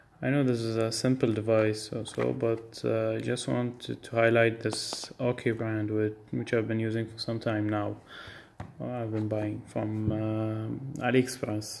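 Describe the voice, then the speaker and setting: Against noticeable background noise, a man talks fairly slowly at a medium pitch in a monotone, flat manner. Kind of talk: casual product unboxing talk to camera. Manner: hesitant, many filler words.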